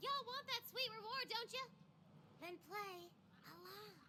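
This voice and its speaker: A woman puts on a squeaky character voice. She goes at a moderate pace, with clear background noise behind her. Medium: video game. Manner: casual, teasing.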